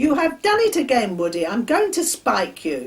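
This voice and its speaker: In a loud, high-pitched put-on character voice, someone shouts at a moderate pace with very wide pitch swings. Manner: furious, shouting.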